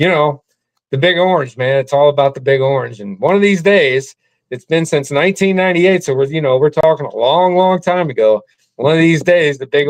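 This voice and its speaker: Fairly high in pitch and at a fairly quick pace, a man with an American accent talks in an unremarkable speaking voice. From US Midwest, St. Louis. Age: 60s. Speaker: sports fan. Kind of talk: casual interview.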